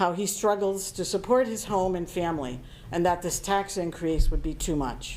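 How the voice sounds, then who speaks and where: Woman with a normal speaking voice, lively intonation and a moderate pace. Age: 60s. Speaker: town board of finance member. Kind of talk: public meeting statement. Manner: formal.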